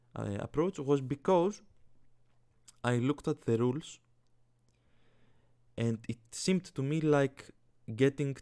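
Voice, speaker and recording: At a very slow pace, a man with a Greek accent speaks in a medium pitch. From Greece. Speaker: fantasy sports YouTuber. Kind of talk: casual commentary vlog. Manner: halting, many fillers.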